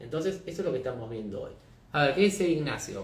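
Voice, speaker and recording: A fairly high-pitched man with an Argentine accent, with audible room echo and noticeable background noise. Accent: Rioplatense Argentine Spanish. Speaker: market analyst, company founder. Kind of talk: live-streamed market analysis. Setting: live stream. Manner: conversational, addresses viewers; fast.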